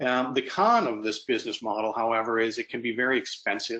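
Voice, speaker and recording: With an American accent, a man speaks at a moderate pace and a medium pitch. His tone is bright and sharp, his intonation monotone and flat. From US Midwest, Michigan. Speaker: sports betting technology executive. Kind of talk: webinar presentation. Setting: online webinar. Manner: hesitant, many fillers and repetitions.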